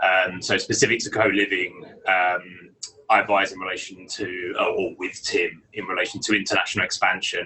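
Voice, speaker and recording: A man with a British accent at a moderate pace, big swings in loudness, and noticeable background noise. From England, London. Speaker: lawyer. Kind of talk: interview.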